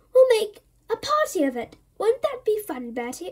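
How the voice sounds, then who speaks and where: A woman's squeaky put-on character voice, extremely high in pitch, with very wide pitch swings at a moderate pace. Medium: read story. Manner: gushing, overfamiliar.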